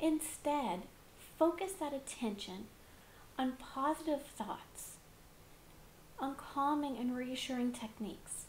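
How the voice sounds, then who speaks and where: A woman speaks very slowly with a high pitch and lively intonation. Her long, frequent pauses ring with audible room echo. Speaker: public speaking teacher. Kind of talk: lecture.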